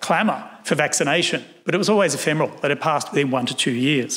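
Talking at a very fast pace with an Australian accent, a man keeps a fairly high pitch and very even loudness. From Australia, Sydney. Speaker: historian; keynote speaker. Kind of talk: lecture; Q&A answers. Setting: stage with audience. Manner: formal. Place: hall. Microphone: podium.

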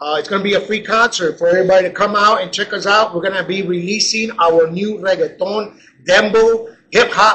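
Over light background noise, a man speaks in a raised, projected voice. His intonation stays fairly even. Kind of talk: promotional announcement. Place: bar. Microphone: camera far.

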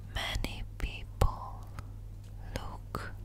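Loud background noise is present. The sound is dry, without any echo. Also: woman. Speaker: ASMR creator. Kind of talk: guided meditation with positive affirmations. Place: home room.

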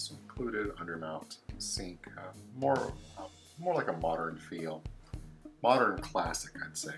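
Clear music plays behind a man whose very deep, low voice moves at a fairly slow pace. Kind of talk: property tour commentary. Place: empty room. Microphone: phone near.

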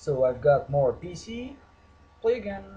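A man with a Portuguese accent speaks with lively intonation in a somewhat breathy voice. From Portugal. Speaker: gaming YouTuber. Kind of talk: game review with commentary. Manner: animated.

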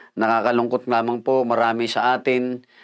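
Quiet background and a man speaking at a fairly quick pace. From Philippines. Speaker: pastor. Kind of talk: sermon, devotional Bible teaching with prayer. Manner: earnest, polite, measured preacher's delivery with frequent fillers. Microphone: lapel.

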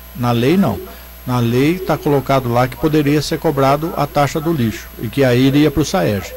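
Noticeable background noise sits under the recording. A man talks at a moderate pace with fairly high pitch and ordinary pitch variation. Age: 50s. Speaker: former city councillor and teacher; former city councillor, teacher. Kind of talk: studio commentary. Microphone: studio mic.

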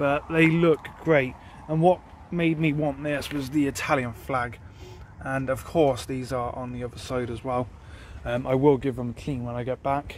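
The voice moves at a moderate pace with long, frequent pauses and fairly even intonation. The sound is dry with no echo, over light background noise. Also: man. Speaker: car owner vlogger. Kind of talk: casual vlog chat. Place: forest. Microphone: phone near.

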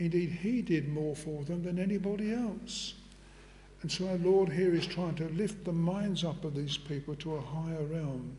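Light background noise sits behind a man speaking at a moderate pace. His voice is high-pitched, with ordinary pitch variation. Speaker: preacher. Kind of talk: sermon. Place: church.

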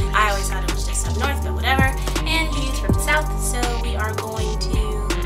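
A woman with an American accent speaks at a moderate pace over loud background music. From Ohio, Midwest US. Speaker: youtuber host. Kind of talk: casual talk to camera. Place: home room. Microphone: camera far.

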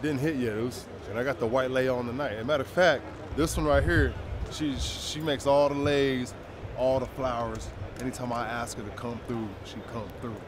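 A man's moderately paced speech, with ordinary pitch variation, comes through noticeable background noise. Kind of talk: casual vlog chat. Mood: excited, playful. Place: stadium. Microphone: camera far.

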